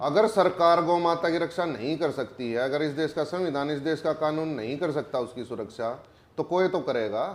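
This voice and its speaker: With a Haryana accent, a man talks at a moderate pace and a fairly high pitch, with ordinary pitch variation over noticeable background noise. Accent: Haryanvi. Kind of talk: interview answer. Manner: forceful, blunt.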